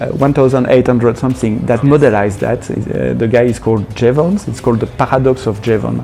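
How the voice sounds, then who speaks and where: A man's medium-pitched voice at a moderate pace, with ordinary pitch variation and noticeable background noise. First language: not English. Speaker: developer advocate. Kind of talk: podcast interview. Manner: hesitant, many fillers and repeats.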